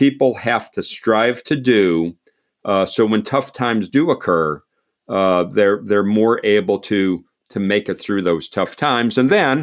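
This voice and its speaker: In a plain, everyday voice with an American accent, a man speaks at a fairly low pitch and a fairly slow pace with lively intonation, on a very clean recording with a silent background. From Pennsylvania. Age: 60s. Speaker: retired army general. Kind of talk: podcast interview. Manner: repetitive false starts.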